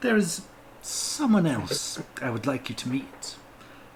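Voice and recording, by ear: The speaker is reading aloud. It comes in a natural voice.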